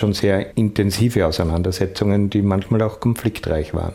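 A man's fairly low voice at a moderate pace, fairly even in intonation, with music in the background. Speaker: filmmaker and journalist. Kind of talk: interview.

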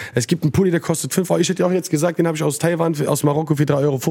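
Noticeable background noise sits under speech that moves at a very fast pace. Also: man. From Frankfurt-Sossenheim, Germany. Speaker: rapper. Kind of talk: casual chat. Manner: animated.

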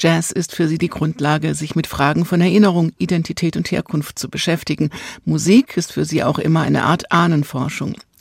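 Vocal fry marks this woman's fairly low voice. She speaks at a fairly quick pace. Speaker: radio host. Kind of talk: radio presentation.

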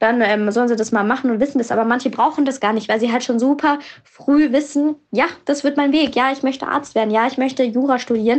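Her pitch high and her intonation fairly even, a woman talks at a very fast pace. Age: 20s. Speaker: young journalist and blogger. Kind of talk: voice messages. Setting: voice message recording.

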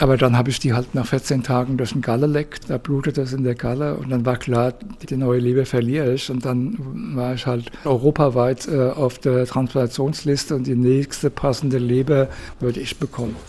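The delivery is monotone and flat at a moderate pace. Noticeable background noise runs underneath. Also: man, medium pitch for a man. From southern Hesse, Darmstadt. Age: 70s. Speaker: liver transplant patient. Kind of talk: testimony.

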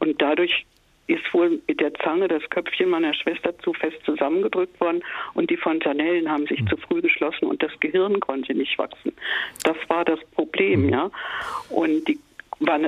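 A woman speaks with very even loudness. There is noticeable background noise. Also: moderate pace. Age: 70s. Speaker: caller. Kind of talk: personal testimony. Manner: halting.

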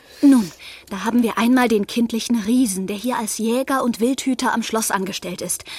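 A woman at a fairly high pitch with fairly even intonation and a moderate pace, set against noticeable background noise. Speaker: young amateur sleuth in audio drama. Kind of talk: scripted audio drama.

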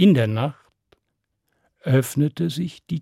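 Somewhat breathy and dark, mellow in tone, a man speaks at a fairly slow pace and medium pitch with ordinary pitch variation, in a dry, close sound with no echo. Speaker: storyteller. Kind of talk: fairy tale narration for children, told aloud. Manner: animated, storytelling with character voices and suspense; direct, addressing listeners warmly.

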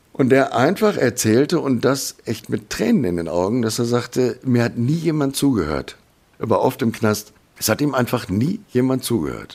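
A man with a medium pitch and some vocal fry speaks at a moderate pace, his intonation lively. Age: 50s. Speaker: professional driver, violent crime victim. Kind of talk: interview testimony.

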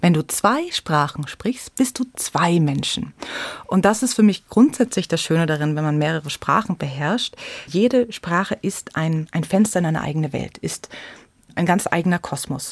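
With a normal speaking voice, a woman talks at a moderate pace in a fairly low pitch with lively intonation. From Munich, Bavaria. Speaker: storyteller and theatre educator. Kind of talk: interview.

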